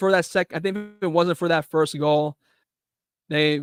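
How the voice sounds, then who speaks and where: A man speaks in a high voice with fairly even intonation. The sound is dry and close with no echo, and music plays in the background. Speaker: football watchalong streamer. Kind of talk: live commentary. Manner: stutter.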